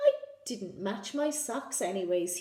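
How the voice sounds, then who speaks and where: A woman performs a put-on character voice at a fairly high pitch. Her delivery is sing-song and fairly slow. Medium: read story. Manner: cheerful, sing-song.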